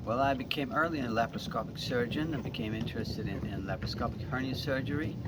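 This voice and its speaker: The speaker is a man with ordinary pitch variation. Noticeable background noise can be heard. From Sweden. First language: Swedish. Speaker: surgeon. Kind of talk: interview answer. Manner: soft-spoken.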